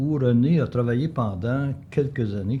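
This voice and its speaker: In a Quebec accent, a man speaks at medium pitch and a fairly slow pace with ordinary pitch variation. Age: 80s+. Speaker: local historian. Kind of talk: life story interview. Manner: hesitant, some repetitions.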